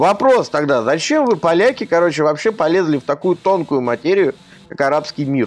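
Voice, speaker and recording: At a moderate pace, a man talks in a fairly high pitch with lively intonation. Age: 30s. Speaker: game journalist and blogger. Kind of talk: casual chat. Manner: animated.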